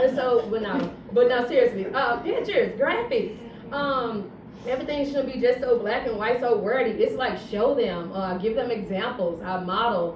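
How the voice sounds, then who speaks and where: At a high pitch, a woman speaks at a moderate pace with an animated tone and ordinary pitch variation, amid noticeable background noise and audible room echo. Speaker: fourth grade science teacher. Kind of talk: panel discussion.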